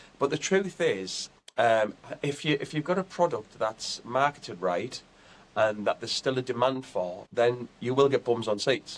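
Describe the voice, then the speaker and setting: A man with a Teesside accent, moderate pace and ordinary pitch variation. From north-east England, Teesside (Billingham). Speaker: comedian, tribute act. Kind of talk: interview.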